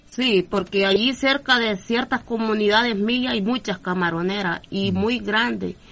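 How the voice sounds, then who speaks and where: The speaker talks at a fairly slow pace with vocal fry, hardly any pauses, and ordinary pitch variation. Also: woman, medium pitch for a woman. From southern Honduras, Gulf of Fonseca. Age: 40s. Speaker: community leader and forest ranger. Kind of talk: interview.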